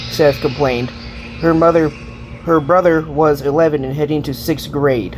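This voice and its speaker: With music in the background, a man speaks at a moderate pace in a fairly high voice with fairly even intonation. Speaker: audiobook narrator. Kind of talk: read story.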